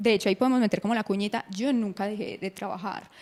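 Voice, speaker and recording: A woman speaks at a fairly high pitch with ordinary pitch variation. It is an unremarkable speaking voice. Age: 20s. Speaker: breast cancer survivor and content creator. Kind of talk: interview.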